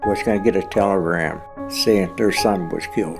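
With a Western Pennsylvania accent, the speaker goes at a moderate pace while clear music plays in the background. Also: man. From Rochester, Pennsylvania. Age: 80s+. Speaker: war veteran. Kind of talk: oral history interview answer. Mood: somber, reflective. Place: studio.

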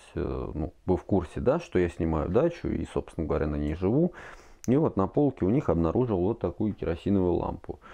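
A man speaks at a moderate pace in a very deep, low pitch with a dark, mellow tone over a quiet background. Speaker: product reviewer. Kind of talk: casual review talk. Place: home room.

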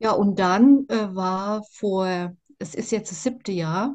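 In a quiet background, a woman with a dark, mellow, somewhat breathy tone speaks at a very slow pace with lively intonation. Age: 60s. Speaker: interviewee sharing personal experience; interviewee. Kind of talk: testimony. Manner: halting, many fillers. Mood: reflective, earnest. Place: home room. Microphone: video call.

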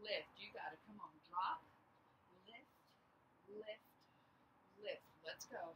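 Against noticeable background noise, a woman talks at a very slow pace with big swings in loudness. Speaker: fitness instructor. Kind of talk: workout coaching cues. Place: open country.

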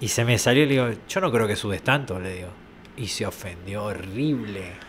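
The voice belongs to a man. Faint noise can be heard behind him. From Argentina. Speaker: location sound recordist; guest. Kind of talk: casual chat. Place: studio. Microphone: studio mic.

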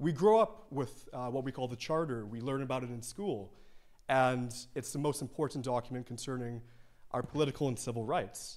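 An unremarkable speaking voice from a man at medium pitch, with ordinary pitch variation, a fairly quick pace and a quiet background. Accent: Canadian. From Canada. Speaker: law student; presenter. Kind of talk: presentation. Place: hall. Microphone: handheld.

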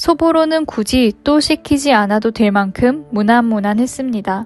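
A fairly high-pitched woman's voice at a fairly slow pace, ordinary pitch variation, and a dry, close sound with no echo. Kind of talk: food review narration.

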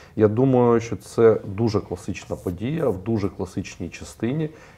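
A man talks in a dark, mellow tone that is somewhat breathy. His pace is fairly slow. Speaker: show host. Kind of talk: panel discussion. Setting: studio. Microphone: lapel.

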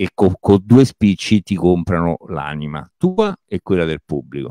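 A man with a very deep, low pitch speaks at a fairly slow pace against a quiet background. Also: dry sound with no echo. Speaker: stand-up comedian. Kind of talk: interview answer. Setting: video call. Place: home room. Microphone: handheld.

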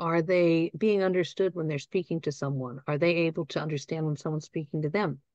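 Against a quiet background, a woman with a fairly low pitch and an unremarkable speaking voice is heard in a dry, close sound with no echo. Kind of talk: training presentation. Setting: online webinar with live audience.

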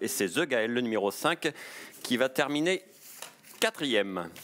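A man speaks at medium pitch in an animated tone. The recording is very clean, with a silent background. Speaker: race commentator. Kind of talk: live horse race commentary. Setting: racecourse. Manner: fast, animated, rising excitement as the finish nears; rapid-fire, fluent, with occasional hesitations.

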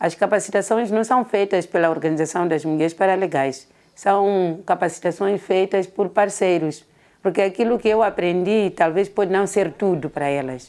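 A woman with a normal speaking voice talks at medium pitch and a moderate pace with ordinary pitch variation, on a very clean recording with a silent background. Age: 50s. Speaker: women's association coordinator. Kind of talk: interview.

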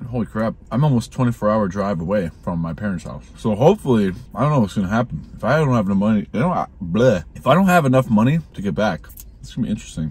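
A somewhat breathy man with an American accent, fairly low pitch, very wide pitch swings and a very fast pace. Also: dry sound with no echo. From Minnesota. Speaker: YouTuber vlogging a road trip. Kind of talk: casual vlog talk to camera. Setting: in his truck. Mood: reflective, uncertain. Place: car. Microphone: phone near.

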